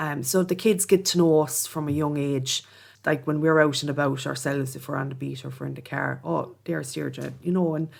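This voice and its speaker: A woman speaks in a Cork accent, with big swings in loudness. The recording is very clean, with a silent background. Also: fairly quick pace. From Ireland, Cork. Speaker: police officer. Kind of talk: interview.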